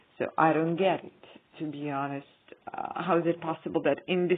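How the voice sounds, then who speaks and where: A woman with a non-native accent speaks at a fairly low pitch with ordinary pitch variation. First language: not English. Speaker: YouTuber. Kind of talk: casual vlog monologue. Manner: halting, many fillers.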